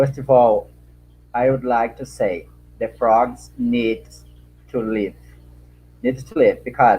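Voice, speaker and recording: A man with a Brazilian accent, at a very slow pace with long, frequent pauses and big swings in loudness. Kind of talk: panel answer. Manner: halting, non-fluent English.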